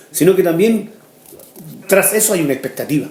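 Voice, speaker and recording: The room echo is audible. A man speaks at a high pitch. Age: 60s. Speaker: pastor. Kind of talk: sermon.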